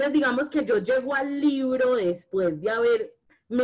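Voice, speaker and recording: Here a woman with a Medellín accent speaks at a fairly slow pace. Her pitch swings very widely. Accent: Medellín (paisa) Colombian Spanish. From Colombia, Medellín. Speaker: feminist and anti-racist activist. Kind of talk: casual conversation.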